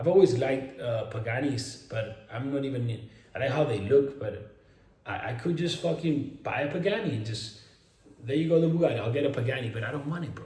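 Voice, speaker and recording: A man with a Spanish accent talks at a fairly quick pace in an animated tone, his voice fairly high with ordinary pitch variation, amid noticeable background noise and audible room echo. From Spain. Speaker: fitness influencer and online coach. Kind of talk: casual vlog monologue. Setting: at home in a mansion.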